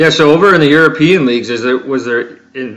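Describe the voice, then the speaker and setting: In a plain, everyday voice, a man speaks at a fairly high pitch and moderate pace with lively intonation. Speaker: podcast host. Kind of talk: casual interview chat.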